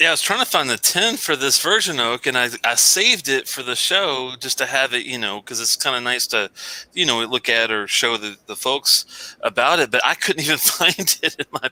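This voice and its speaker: Over noticeable background noise, a man with a Southern US accent speaks at a moderate pace in a medium pitch with hardly any pauses. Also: ordinary pitch variation, dry, close sound with no echo. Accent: Southern US, pin-pen merger. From Kentucky. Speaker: show co-host.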